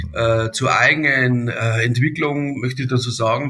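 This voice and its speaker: A man talks at a medium pitch with fairly even intonation. Background noise is noticeable. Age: 60s. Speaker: company director. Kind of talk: podcast interview.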